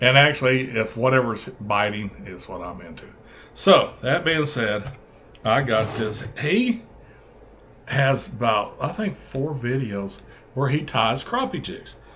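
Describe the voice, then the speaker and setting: Speaking at a fairly slow pace, a man with a Southern US accent and a medium pitch swings widely in loudness, with audible room echo. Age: 60s. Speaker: fishing channel host. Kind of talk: casual video vlog. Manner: halting, many fillers.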